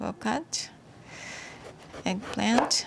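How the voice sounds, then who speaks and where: A woman with a Japanese accent speaks at a very slow pace and medium pitch. Noticeable background noise can be heard. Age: 60s. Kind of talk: cooking tutorial to camera. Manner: hesitant, many fillers.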